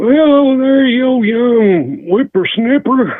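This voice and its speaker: A put-on character voice at a fairly high pitch and a very slow pace. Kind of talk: old-fashioned. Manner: scolding.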